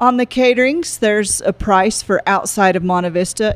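At a moderate pace, a woman speaks with an unremarkable speaking voice and ordinary pitch variation. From Florida Panhandle. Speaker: cafe owner. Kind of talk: interview.

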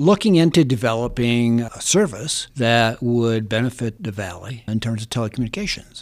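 A man with an ordinary speaking voice talks at a moderate pace, medium in pitch with ordinary pitch variation. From Holland, Michigan. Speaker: utility executive. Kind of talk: casual interview.

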